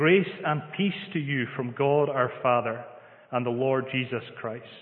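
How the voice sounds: Fairly slow speech with ordinary pitch variation and audible room echo. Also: man, medium pitch for a man.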